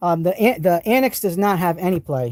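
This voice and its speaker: Speaking at a fairly quick pace in an American accent, the voice has an animated tone and lively intonation. The sound is dry and close, with no echo. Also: man. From New England, US. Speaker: tool reviewer and live streamer. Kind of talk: live stream product show-and-tell. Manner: casual, animated.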